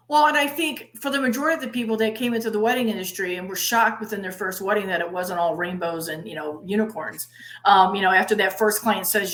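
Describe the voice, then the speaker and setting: Noticeable background noise runs under this clip. A woman talks at a very fast pace with lively intonation. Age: 60s. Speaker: conference MC and interviewer. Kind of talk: interview.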